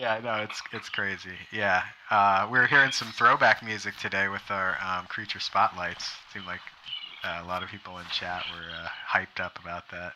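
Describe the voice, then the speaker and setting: A man with an American accent and a normal speaking voice, fairly low in pitch, at a moderate pace, with fairly even intonation and big swings in loudness. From US South. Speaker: game studio representative. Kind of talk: interview on livestream.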